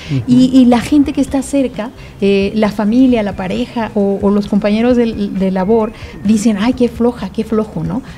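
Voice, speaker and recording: A woman's fairly high voice with ordinary pitch variation, amid noticeable background noise. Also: moderate pace. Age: 50s. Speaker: author and lupus patient advocate. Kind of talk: interview. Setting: studio.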